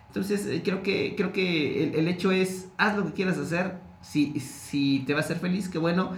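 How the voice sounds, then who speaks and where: A man with a high pitch and ordinary pitch variation talks at a fairly slow pace with hardly any pauses. His loudness is very even, with audible room echo and noticeable background noise. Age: 40s. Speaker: TV journalist and media program director. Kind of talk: casual interview conversation.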